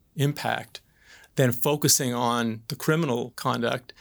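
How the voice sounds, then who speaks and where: A man's voice, a normal speaking voice, at a fairly slow pace with ordinary pitch variation, on a very clean recording with a silent background. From Atlantic Canada (PEI and Newfoundland). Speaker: crown prosecutor. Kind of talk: panel discussion.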